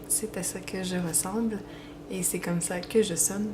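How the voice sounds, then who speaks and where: A woman's medium-pitched voice in a Quebec accent, fairly slow, with ordinary pitch variation, audible room echo and noticeable background noise. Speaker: fan fiction writer and page admin. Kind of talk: Q&A video, casual. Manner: hesitant, many fillers.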